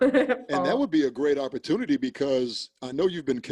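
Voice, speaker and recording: Using a normal speaking voice, a man talks at a fairly quick pace with lively intonation. The recording is dry and close, with no echo. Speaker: interviewer.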